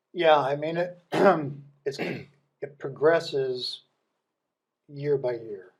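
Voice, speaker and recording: A very slow, somewhat breathy man's voice with an American accent, fairly high in pitch for a man, with fairly even intonation. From US Midwest. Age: 60s. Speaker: business leader. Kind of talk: podcast interview.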